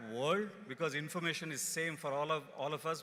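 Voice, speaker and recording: A man with a Kannada accent, a bright, sharp tone, fairly high pitch and a moderate pace. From India, rural Karnataka. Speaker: company executive. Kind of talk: convocation speech. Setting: stage with audience.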